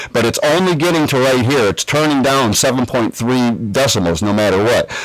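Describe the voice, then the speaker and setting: A man at medium pitch with lively intonation and a fairly quick pace, over noticeable background noise. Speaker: streamer giving tech tutorial. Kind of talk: tutorial. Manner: casual. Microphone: studio USB condenser mic with processing.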